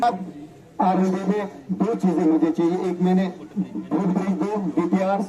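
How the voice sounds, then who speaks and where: Noticeable background noise runs under a man's speech. His pitch is high and his intonation fairly even. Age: 50s. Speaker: politician. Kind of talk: public address.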